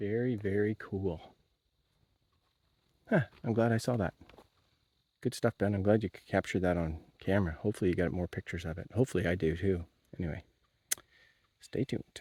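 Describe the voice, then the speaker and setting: A man mumbles at a fairly quick pace, his voice fairly low with a dark, mellow tone and ordinary pitch variation. Long, frequent pauses break up the speech, and the sound is dry and close with no echo. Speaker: outdoor vlogger. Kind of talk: casual vlog narration. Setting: outdoors, walking trails. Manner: mumbling; hesitant, many fillers.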